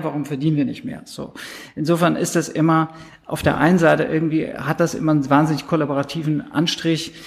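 A man talks at a fairly quick pace in a fairly high pitch. His is a plain, everyday voice with ordinary pitch variation. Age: 40s. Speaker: advertising agency executive and consultant. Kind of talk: interview.

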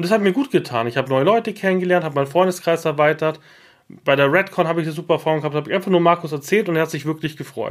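A man speaks very fast at a fairly high pitch. His pitch shifts an ordinary amount. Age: 30s. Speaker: podcast host. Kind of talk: casual chat. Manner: animated.

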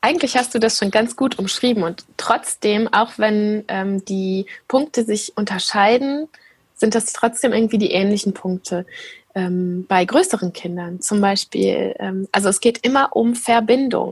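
A woman speaks at a fairly slow pace in a fairly high pitch, her somewhat breathy voice showing ordinary pitch variation on a very clean recording with a silent background. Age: 30s. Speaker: attachment parenting blogger and mother. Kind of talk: interview.

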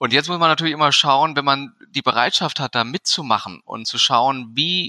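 The man's tone is bright and sharp, his pitch medium for a man, his pace moderate. The sound is dry and close, with no echo. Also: very clean recording, silent background. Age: 40s. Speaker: physician and medical association board member. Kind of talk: interview.

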